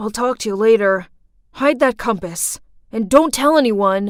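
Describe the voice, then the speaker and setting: A female-sounding cartoonish character voice at a fairly high pitch and moderate pace, in a very clean recording with a silent background. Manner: hushed, urgent.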